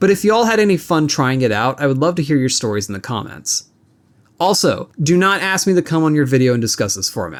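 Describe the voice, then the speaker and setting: Very fast and fairly high-pitched, a man's voice swings very widely in pitch. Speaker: gaming video creator. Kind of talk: scripted commentary. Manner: edited, choppy delivery.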